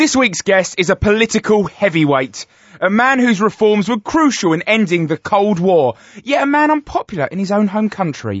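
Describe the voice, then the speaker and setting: A man speaks with a British accent in a high pitch, his loudness very even. His pitch swings very widely. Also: moderate pace. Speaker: comedy podcast host. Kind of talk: mock celebrity interview.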